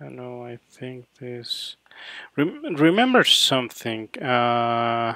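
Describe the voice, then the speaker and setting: This man speaks at a very slow pace. He has a Mexican accent. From Mexico City. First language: Spanish. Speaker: photographer. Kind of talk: live editing session commentary. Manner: halting, many fillers.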